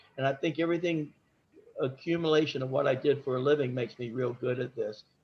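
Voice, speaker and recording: The speaker has an American accent and a somewhat breathy voice. The pace is fairly quick and the intonation fairly even. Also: man. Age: 60s. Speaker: home inspector. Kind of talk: business presentation at a meeting. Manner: halting, with repeated words.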